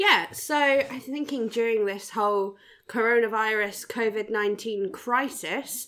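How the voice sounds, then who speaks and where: This is a plain, everyday voice with ordinary pitch variation, captured in a very clean recording with a silent background. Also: woman. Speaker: podcast co-host. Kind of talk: casual riffing commentary over videos.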